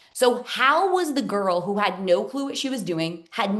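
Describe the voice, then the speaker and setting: The voice is loud and energetic in tone, with very wide pitch swings at a moderate pace. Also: woman. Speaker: business coach. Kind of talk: webinar masterclass. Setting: Zoom live stream.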